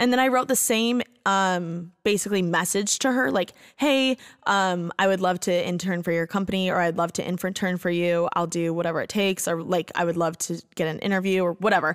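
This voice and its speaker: A woman with an American accent talks at a fairly quick pace, her pitch medium with ordinary variation. The recording is very clean, with a silent background. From US Midwest, Bloomington, Indiana. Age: 20s. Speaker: podcast host. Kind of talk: casual chat. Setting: studio. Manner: animated.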